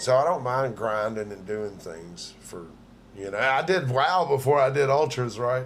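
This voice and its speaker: Audible room echo surrounds a man at medium pitch who speaks at a moderate pace with lively intonation and big swings in loudness. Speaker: livestream host. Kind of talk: casual chat.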